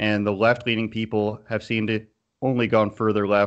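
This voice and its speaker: A man's fairly low voice in a Canadian accent, monotone and flat in intonation. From Canada. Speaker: political commentator. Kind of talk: interview.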